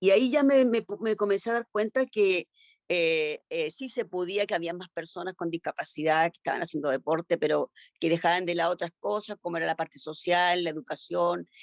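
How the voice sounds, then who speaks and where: With a Chilean accent, a woman talks at a fairly quick pace in a fairly low pitch, her intonation lively. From Chile, Concepción. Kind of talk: panel discussion. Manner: halting.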